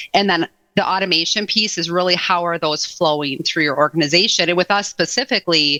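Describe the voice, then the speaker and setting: A woman with an American accent talks at a fairly quick pace with ordinary pitch variation and a bright, sharp tone, the sound dry and close with no echo on a very clean recording with a silent background. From Wisconsin, Madison area. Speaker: HR technology expert. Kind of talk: podcast interview.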